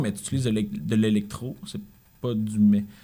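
A man with a Quebec accent and a dark, mellow tone at a moderate pace. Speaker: musician. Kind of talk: casual chat.

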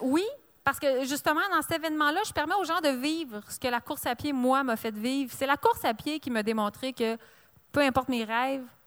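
Lively intonation at a moderate pace in a very clean recording with a silent background. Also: woman. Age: 40s. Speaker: author and entrepreneur. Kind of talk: interview at a live book fair. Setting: live broadcast at book fair.

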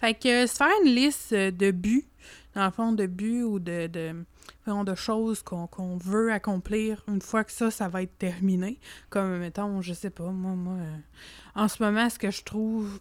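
In a very clean recording with a silent background, a woman speaks at a fairly slow pace in a medium pitch with fairly even intonation. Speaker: podcast co-host. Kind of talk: casual chat.

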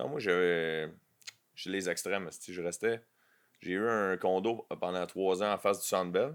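Speaking at a fairly slow pace with long, frequent pauses, a man uses a very deep, low pitch and ordinary pitch variation. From Quebec, south shore. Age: 40s. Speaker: comedian. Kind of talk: casual chat.

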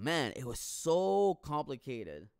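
Speaking in a Quebec accent, a man delivers his words in an animated tone. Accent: French-Canadian accent in English. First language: French. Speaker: podcaster. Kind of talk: casual solo podcast monologue. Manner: casual, profane, rambling, animated.

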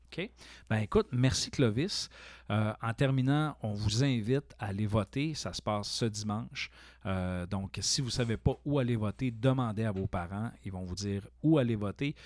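In a very clean recording with a silent background and a dry, close sound with no echo, a man with a normal speaking voice talks at a fairly slow pace with fairly low pitch and ordinary pitch variation. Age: 40s. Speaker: college teacher and podcast host. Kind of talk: casual interview chat.

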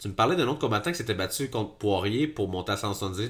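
A man speaks at a fairly low pitch. His pitch swings very widely. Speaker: MMA podcast co-host. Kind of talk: casual chat. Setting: shared microphone in same room.

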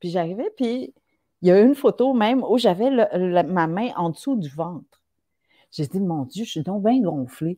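Speaking at a fairly slow pace, a woman with a medium pitch and a dark, mellow tone makes very wide pitch swings. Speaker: writer. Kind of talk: casual chat.

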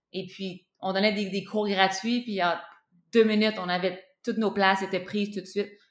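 With flat, monotone intonation, a woman talks at a medium pitch. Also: moderate pace. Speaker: spearfisher and breathing coach. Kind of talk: interview. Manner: halting, many repeated words.

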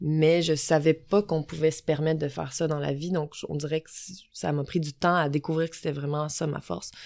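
Speaking in a monotone, flat intonation, a woman with a very deep, low pitch moves at a fairly quick pace. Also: very clean recording, silent background. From Quebec, south shore of Montreal. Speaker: climbing gym owner. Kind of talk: casual interview. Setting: recorded in person in Glen Sutton.

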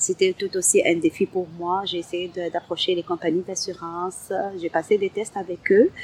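A woman's medium-pitched voice at a moderate pace, with flat, monotone intonation and a dry, close sound with no echo. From Algeria. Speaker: community centre coordinator. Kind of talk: testimony.

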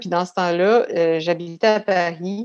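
In a plain, everyday voice, a woman talks at a moderate pace with ordinary pitch variation against a quiet background. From Quebec City suburbs (Beauport), Quebec. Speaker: actress and artistic career coach. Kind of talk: casual interview.

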